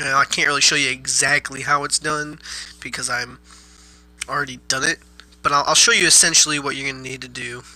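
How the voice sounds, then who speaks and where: Amid noticeable background noise, a man with a fairly high pitch speaks at a very fast pace, with fairly even intonation, long, frequent pauses and big swings in loudness. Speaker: gaming YouTuber. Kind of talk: casual gameplay tutorial.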